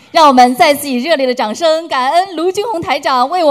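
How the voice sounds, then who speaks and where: Speaking at a fairly quick pace, a woman uses a high pitch and lively intonation. Noticeable background noise is present. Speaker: event emcee. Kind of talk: formal announcement.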